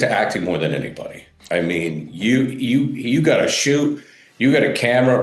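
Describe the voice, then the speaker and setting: A man's voice swings very widely in pitch, with noticeable background noise behind him. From New England. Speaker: podcast host. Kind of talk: podcast interview questions.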